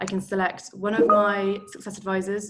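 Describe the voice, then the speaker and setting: This is a woman speaking. She has a London accent. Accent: London accent, noticeable. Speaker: product manager, tour guide. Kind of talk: webinar product demo. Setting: video call webinar. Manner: casual, many filler ums.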